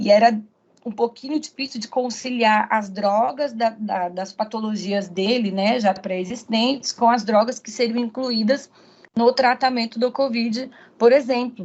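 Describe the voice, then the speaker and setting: Fairly high in pitch, a woman with an unremarkable speaking voice talks at a fairly slow pace with fairly even intonation. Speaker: pharmacist, guest lecturer. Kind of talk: online lecture. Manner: frequent fillers and repetitions.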